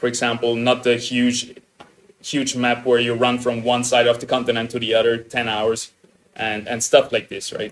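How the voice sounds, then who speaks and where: A man's medium-pitched voice with a slight Austrian accent. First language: German. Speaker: game streamer. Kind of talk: live stream reaction commentary. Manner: animated.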